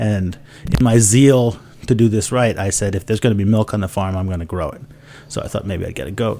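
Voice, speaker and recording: A man speaks with a fairly low pitch. Noticeable background noise runs underneath. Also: ordinary pitch variation, fairly quick pace. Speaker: author. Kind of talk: casual chat. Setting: studio. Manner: jokey.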